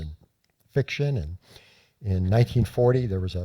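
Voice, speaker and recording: Speaking at a fairly quick pace with an American accent, a man has a dark, mellow, somewhat breathy tone and ordinary pitch variation. The recording is very clean, with a silent background. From South Florida (Miami). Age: 60s. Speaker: journalist and author. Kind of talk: storytelling talk. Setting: lecture hall with audience. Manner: halting.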